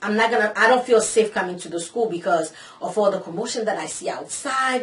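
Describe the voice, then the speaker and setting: Her intonation lively and her tone animated, a woman speaks at a fairly quick pace with a medium pitch. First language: Haitian Creole / French. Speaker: vlogger, cosmetology student. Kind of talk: casual vlog storytelling.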